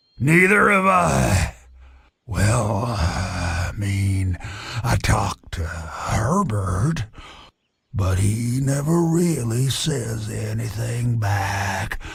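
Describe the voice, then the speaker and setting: A raspy, put-on character voice from a man, fairly low in pitch, at a very slow pace. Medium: video game. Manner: rambling, wry.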